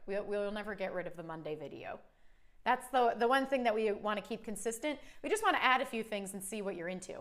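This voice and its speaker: A woman talks with a Cleveland accent at a very fast pace. Her intonation is lively. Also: fairly high pitch for a woman. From US Midwest, Cleveland, Ohio. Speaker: cake artist and channel host. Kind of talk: live stream Q&A chat. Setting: live stream. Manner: casual, with many fillers.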